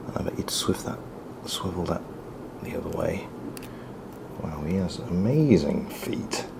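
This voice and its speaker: A man whispers at a fairly slow pace, with long, frequent pauses. Audible room echo and noticeable background noise are present. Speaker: toy reviewer. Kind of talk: product review while building a model kit. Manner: quiet while concentrating; bursts into excited loudness.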